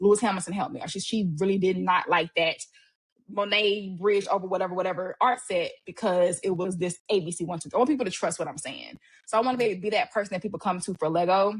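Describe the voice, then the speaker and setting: A woman speaks at a very fast pace, somewhat breathy, with ordinary pitch variation. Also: medium pitch for a woman. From Louisiana. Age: 30s. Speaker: educator and content creator. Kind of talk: casual podcast interview.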